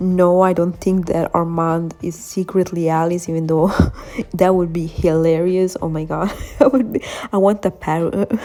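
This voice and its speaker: A woman speaks at a moderate pace, her fairly low pitch held in fairly even intonation, while noticeable background noise carries on. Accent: non-native. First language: not English. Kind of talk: fan theory video narration. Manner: casual, hesitant.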